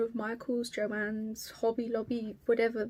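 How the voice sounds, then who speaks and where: A woman in an Estuary accent speaks with a fairly high pitch and a dark, mellow tone. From southeast England, Kent. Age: 20s. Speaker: cross stitch vlogger. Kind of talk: casual vlog chat. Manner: hesitant.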